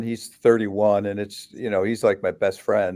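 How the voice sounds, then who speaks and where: The speaker is a man with a medium pitch. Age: 60s. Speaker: rock bassist. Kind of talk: podcast interview. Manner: halting.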